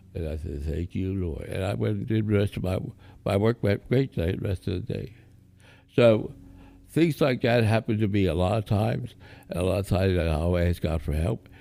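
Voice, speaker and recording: Very deep and low in pitch, a man's dark, mellow voice carries vocal fry as he talks at a moderate pace. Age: 70s. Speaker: aspiring pastor, stroke survivor. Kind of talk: casual interview, faith testimony. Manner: halting, many fillers.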